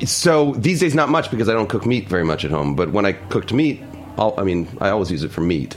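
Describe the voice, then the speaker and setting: A man with fairly low pitch talks at a very fast pace, his voice making very wide pitch swings over music in the background. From New York City (Harlem). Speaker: cookbook author. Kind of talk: casual chat. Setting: studio.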